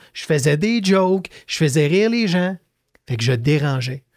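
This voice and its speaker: Very wide pitch swings run through speech at a fairly slow pace over a quiet background. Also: man. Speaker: entrepreneur, leadership author; podcast guest. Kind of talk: casual interview. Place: studio. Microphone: studio mic.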